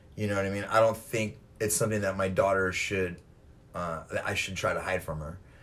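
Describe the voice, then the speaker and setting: A man with an American accent, fairly low in pitch, at a fairly quick pace with fairly even intonation, amid audible room echo. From California. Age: 40s. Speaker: podcast host. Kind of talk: casual chat. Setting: at the guest's home.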